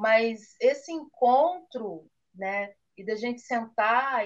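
The speaker is a woman. She talks with ordinary pitch variation. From Brazil, Campinas (São Paulo state). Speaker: chocolate maker. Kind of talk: interview.

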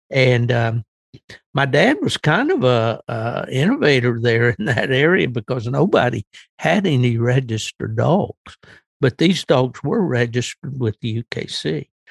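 A man speaks at a fairly slow pace in a medium pitch with ordinary pitch variation, his somewhat breathy voice sounding dry and close with no echo. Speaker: veteran hound hunter. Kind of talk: interview. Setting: remote call with headphones.

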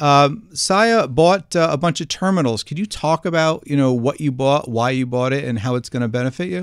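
At a moderate pace, a man's fairly high voice carries through. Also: lively intonation. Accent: New Jersey. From New Jersey. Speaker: podcast host, analyst. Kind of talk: interview.

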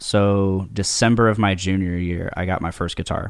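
With an American accent and an ordinary speaking voice, a man speaks at a fairly slow pace and fairly low pitch. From Indiana, US Midwest (Delphi). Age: 20s. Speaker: guest, guitarist. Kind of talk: casual interview, life story.

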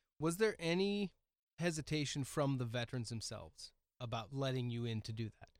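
With an American accent and a plain, everyday voice, a man at medium pitch talks at a fairly quick pace, his intonation lively and his loudness rising and falling widely. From US Pacific Northwest, Oregon coast. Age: 40s. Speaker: podcast host. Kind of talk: casual interview chat. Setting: studio.

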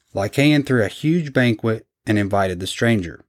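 A man with a normal speaking voice at medium pitch, moderate pace, dry, close sound with no echo, and a very clean recording with a silent background. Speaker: podcast host. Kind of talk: casual storytelling podcast.

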